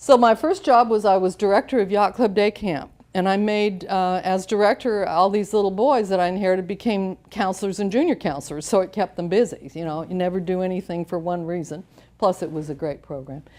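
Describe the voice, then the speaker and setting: With ordinary variation in her pitch, a woman talks at a fairly quick clip. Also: medium pitch for a woman, very clean recording, silent background. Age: 60s. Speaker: motivational speaker, former TV host. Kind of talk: speech. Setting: luncheon with audience. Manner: animated.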